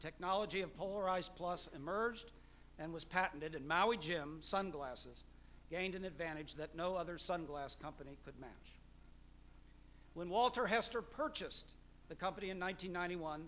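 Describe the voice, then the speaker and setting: A man speaks at a moderate pace in a bright, sharp tone with ordinary pitch variation. His speech has long, frequent pauses. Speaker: event host introducing the guest lecturer. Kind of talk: formal speaker introduction. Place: hall. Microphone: podium.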